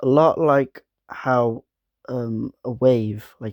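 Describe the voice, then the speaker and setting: In a very clean recording with a silent background, a man's medium-pitched voice carries a dark, mellow tone and a dry, close sound with no echo. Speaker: gaming video creator. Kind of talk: casual vlog talk to camera. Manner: monotone.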